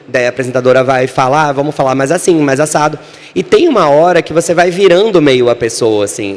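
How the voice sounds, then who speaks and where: An animated male voice with ordinary pitch variation. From Brazil, Natal (Northeast). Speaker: screenwriter and author. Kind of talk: panel talk.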